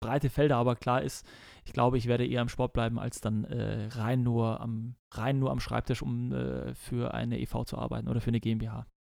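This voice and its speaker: A man with a slight Bavarian accent at a moderate pace. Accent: little Bavarian accent audible. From Bavaria, Germany (Kelheim, Unterhaching). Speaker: professional football goalkeeper. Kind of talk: casual interview.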